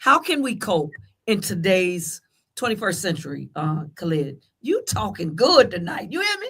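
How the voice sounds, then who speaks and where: Her pitch is medium for a woman, yet it swings very widely as she speaks at a moderate pace. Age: 60s. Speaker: talk show host. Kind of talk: casual panel discussion.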